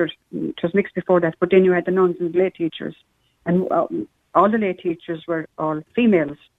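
A woman with an Irish accent speaks at a moderate pace in a fairly low voice, recorded dry and close with no echo. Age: 70s. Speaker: caller. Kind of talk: phone-in chat.

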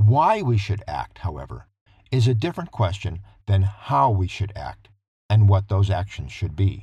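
Speaking at a moderate pace, a man with an American accent has a fairly low pitch, a dark, mellow tone, a somewhat breathy quality and lively intonation. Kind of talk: scripted narration. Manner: formal.

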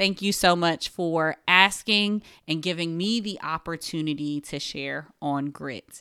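A woman with an American accent speaks at a fairly slow pace. Her tone is bright and sharp, on a very clean recording with a silent background. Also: fairly low pitch for a woman, ordinary pitch variation. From New Jersey (Paterson). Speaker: podcast host, event company founder. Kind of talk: solo podcast monologue.

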